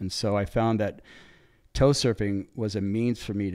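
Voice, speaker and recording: Over a silent background in a very clean recording, a man speaks with a Californian accent. His pitch is fairly low and his pace fairly quick. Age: 60s. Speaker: big wave surfer. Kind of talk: interview storytelling. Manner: animated.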